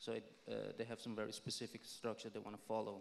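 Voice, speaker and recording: With a non-native accent, a man speaks very fast in a fairly low, flat, monotone voice marked by vocal fry. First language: not English. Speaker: film director. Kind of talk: panel discussion.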